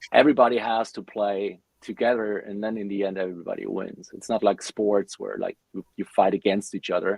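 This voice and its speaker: This man talks at a fairly quick pace in a flat monotone, with big swings in loudness and hardly any pauses. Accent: German. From Germany. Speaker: metal bassist. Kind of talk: podcast interview.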